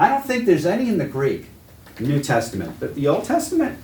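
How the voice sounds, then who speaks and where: In a Boston accent, a man talks with a somewhat breathy voice as the room echo comes through audibly. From New England, Massachusetts. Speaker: Bible teacher. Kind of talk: lecture. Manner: conversational.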